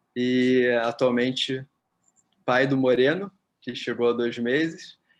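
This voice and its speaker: A man speaks in an ordinary speaking voice at a medium pitch, with fairly even intonation. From Brazil, Rio de Janeiro. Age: 30s. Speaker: physiotherapist and psychotherapist. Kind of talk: interview. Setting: at home.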